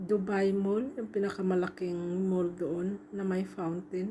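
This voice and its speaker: A woman speaks at a very slow pace in a somewhat breathy, dark and mellow voice at a medium pitch. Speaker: overseas domestic worker and vlogger. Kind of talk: travel vlog voice-over. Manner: casual, halting.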